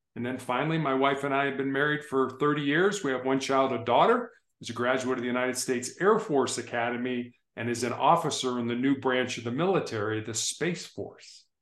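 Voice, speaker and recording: In an American accent, a man with a plain, everyday voice talks at a fairly quick pace with ordinary pitch variation. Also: medium pitch for a man. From Chicago, US Midwest. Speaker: motivational speaker and author. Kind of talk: casual interview chat. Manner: warm, storytelling, conversational.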